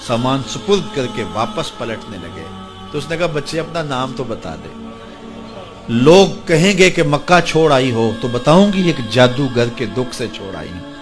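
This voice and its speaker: Music plays in the background as the voice swings very widely in pitch and shifts greatly in loudness. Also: man. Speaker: Islamic scholar preacher. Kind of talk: Islamic sermon telling a story to an audience.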